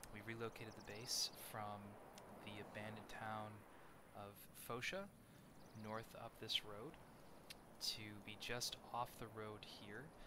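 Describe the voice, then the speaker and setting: A man speaks quietly and fairly slowly in a fairly low, monotone voice, with noticeable background noise behind him. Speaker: gamer. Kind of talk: let's play commentary.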